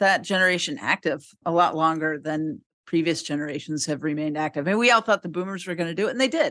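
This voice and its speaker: A woman talks at a fairly quick pace with a fairly low pitch and ordinary pitch variation, in a normal speaking voice. The background is quiet. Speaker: podcast host. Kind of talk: casual chat.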